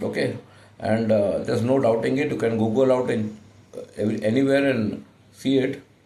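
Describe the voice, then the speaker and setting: Audible room echo surrounds a man's medium-pitched voice, which carries vocal fry and ordinary pitch variation. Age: 60s. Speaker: insurance agent. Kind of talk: sales pitch. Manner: halting, many fillers.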